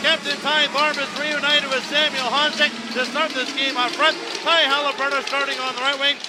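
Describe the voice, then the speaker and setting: Against noticeable background noise, a man projects a raised voice at an extremely high pitch. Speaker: play-by-play hockey broadcaster. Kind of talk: live sports play-by-play commentary. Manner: fast, energetic.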